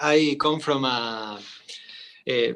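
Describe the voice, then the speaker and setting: Fairly high in pitch, a man's voice has a bright, sharp tone. Its pitch varies in an ordinary way. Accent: Spanish. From Argentina, Córdoba. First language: Spanish. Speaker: VR artist and painter. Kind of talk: panel discussion. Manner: halting.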